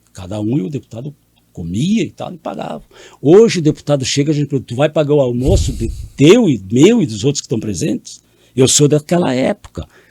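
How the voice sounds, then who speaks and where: A man with a dark, mellow, somewhat breathy voice at a fairly high pitch talks at a fairly quick pace with very wide pitch swings, in a dry, close sound with no echo. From Brazil, Rio Grande do Sul. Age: 70s. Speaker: politician, mayor. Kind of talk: interview.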